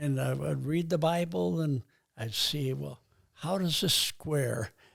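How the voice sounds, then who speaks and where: A man talks at a very slow pace in a fairly high, somewhat breathy voice with lively intonation, on a very clean recording with a silent background. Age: 80s+. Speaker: retired missionary. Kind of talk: interview answer.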